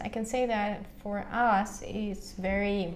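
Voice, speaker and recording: With a Russian accent, a woman speaks amid audible room echo. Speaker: language teacher and vlogger. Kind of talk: casual vlog monologue. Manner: halting, many fillers.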